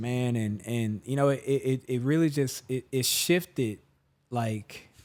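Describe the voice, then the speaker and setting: A man with an American accent speaks very slowly at a medium pitch. He leaves long, frequent pauses. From Jackson, Mississippi. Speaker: musician and performer. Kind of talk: interview answer. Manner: casual, reflective.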